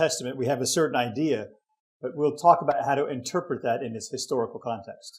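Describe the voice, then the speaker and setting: A man with a fairly high pitch rattles along at a very fast pace, his pitch varying in an ordinary way. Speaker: bible teacher. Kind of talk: lecture.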